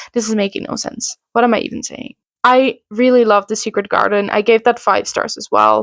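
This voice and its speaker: Dutch-accented speech at a moderate pace, with a dry, close sound and no echo. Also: woman. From Netherlands. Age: 20s. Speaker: book reviewer. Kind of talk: casual chat. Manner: casual, hesitant with fillers.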